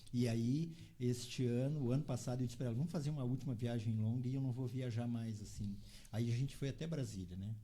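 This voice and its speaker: A man at medium pitch speaks at a fairly quick pace in a dark, mellow, somewhat breathy tone with fairly even intonation, with audible room echo around him. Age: 60s. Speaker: motorcycle traveller. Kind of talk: interview chat.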